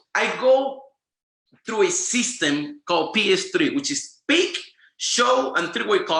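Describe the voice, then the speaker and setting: Amid audible room echo, a man with a Spanish accent uses a raised, projected voice, a bright, sharp and animated tone and very wide pitch swings at a moderate pace. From Venezuela. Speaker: network marketing presenter. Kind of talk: training presentation.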